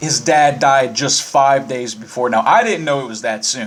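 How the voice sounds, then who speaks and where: A man with a slight Southern US accent talks at a moderate pace over noticeable background noise. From Virginia (Winchester). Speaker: podcast host. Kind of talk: casual monologue. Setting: live internet radio.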